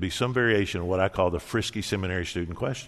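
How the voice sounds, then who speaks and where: The man's pitch varies in an ordinary way. He talks very fast. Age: 60s. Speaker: pastor. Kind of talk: sermon.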